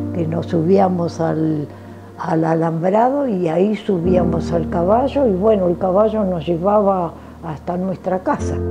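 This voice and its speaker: Fairly low in pitch, a woman talks at a fairly slow pace with lively intonation as music plays in the background. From Argentina, Santa Cruz (Río Gallegos). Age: 90s. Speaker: family elder telling life story. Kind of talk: oral history interview. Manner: halting, many fillers.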